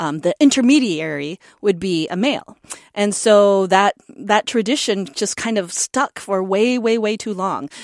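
A woman with an American accent and an ordinary speaking voice talks at a moderate pace in a medium pitch with lively intonation. The recording is very clean with a silent background and a dry, close sound with no echo. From North Dakota, US. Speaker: taiko drummer. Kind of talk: interview.

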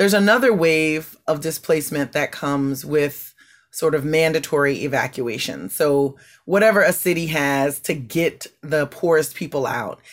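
A woman with a Southern Louisiana accent, very deep and low in pitch, ordinary pitch variation, a moderate pace, and a very clean recording with a silent background. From US South, Louisiana bayou north of New Orleans. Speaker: environmental justice advocate. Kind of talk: interview and talk excerpts.

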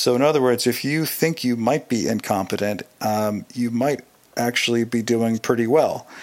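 A man at medium pitch with a normal speaking voice, a moderate pace and ordinary pitch variation. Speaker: listener contributor. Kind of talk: recorded listener story.

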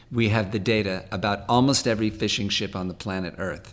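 An ordinary speaking voice comes from a man with an American accent, his pitch fairly low with ordinary variation. He speaks at a moderate pace. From California, San Fernando Valley. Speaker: talent manager and ocean charity board president. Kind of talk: interview.

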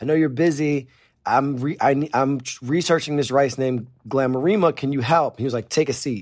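At a fairly quick pace, a man talks with a plain, everyday voice, fairly high in pitch with ordinary pitch variation. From Northeast Pennsylvania. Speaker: chef. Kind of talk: casual chat. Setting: remote, in the Bahamas.

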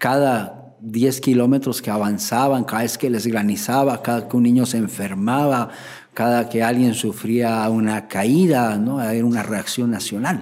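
A man has a plain, everyday voice, pitched in the medium range with fairly even intonation. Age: 40s. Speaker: IT specialist. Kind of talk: interview testimony.

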